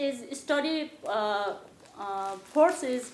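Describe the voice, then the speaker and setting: A woman speaks in a high pitch with lively intonation. Room echo is audible. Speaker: former schoolteacher. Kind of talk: personal testimony. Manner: halting, many hesitations.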